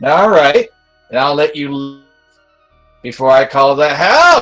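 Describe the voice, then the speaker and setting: Faint music plays in the background behind a put-on character voice at a low-to-middle pitch and a fairly slow pace. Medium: actual play. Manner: gruff, irritable.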